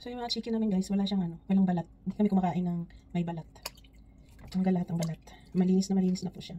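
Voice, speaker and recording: Somewhat breathy speech with fairly even intonation comes at a very fast pace, broken by long, frequent pauses. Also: woman, medium pitch for a woman. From Philippines. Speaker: vlogger. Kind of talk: casual vlog talk.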